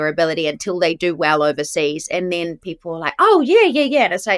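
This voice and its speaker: Recorded very cleanly against a silent background, a woman with a New Zealand accent talks with lively intonation. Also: dry, close sound with no echo. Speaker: actress. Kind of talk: casual chat. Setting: podcast interview.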